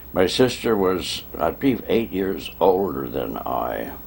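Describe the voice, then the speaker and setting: Very wide pitch swings run through this voice over noticeable background noise. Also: man. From Pennsylvania, Berks County. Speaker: longtime resident interviewee. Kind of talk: oral history interview.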